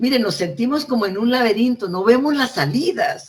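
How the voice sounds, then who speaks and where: A woman speaks at a moderate speed while her pitch rises and falls across a very wide range. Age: 70s. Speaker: librarian and education consultant. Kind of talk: talk.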